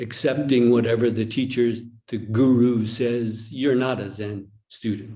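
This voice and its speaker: Audible room echo around a man's medium-pitched voice in an American accent, dark and mellow in tone, fairly slow, with fairly even intonation. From United States. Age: 60s. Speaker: Zen teacher. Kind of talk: dharma talk with dialogue. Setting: online retreat video call.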